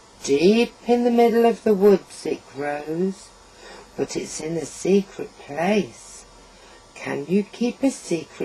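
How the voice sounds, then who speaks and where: The speaker uses a put-on character voice at a middle pitch and a fairly slow pace. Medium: read story. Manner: wheedling, sly.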